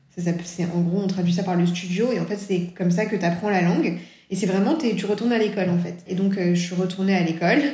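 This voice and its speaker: Delivered at a very fast pace with fairly even intonation, the speech carries noticeable background noise and audible room echo. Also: woman, medium pitch for a woman. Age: 30s. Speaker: children's book author. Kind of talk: interview. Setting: remote recording.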